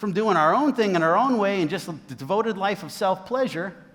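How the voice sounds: Simply a natural reading voice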